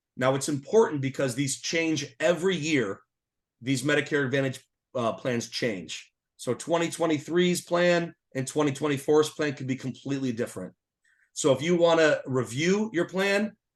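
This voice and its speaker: A man with an American accent has an unremarkable speaking voice, fairly high in pitch with ordinary pitch variation. He speaks at a moderate pace against a quiet background. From Massachusetts, US. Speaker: Medicare insurance consultant. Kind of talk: webinar presentation.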